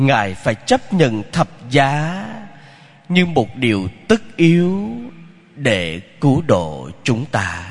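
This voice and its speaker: A man speaks at a very slow pace with a medium pitch. His voice makes very wide pitch swings, broken by long, frequent pauses. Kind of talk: sermon.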